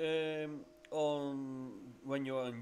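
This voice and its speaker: A man speaks with a Dutch accent. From Netherlands. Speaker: CNC machine customer, business owner. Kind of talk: casual video commentary. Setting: voiceover recorded while watching footage. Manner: halting, many fillers.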